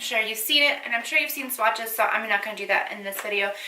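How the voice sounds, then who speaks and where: Through audible room echo and noticeable background noise comes a woman's fairly high-pitched voice. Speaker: beauty YouTuber. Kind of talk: casual chat to camera. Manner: mumbling at times. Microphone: echoey room mic.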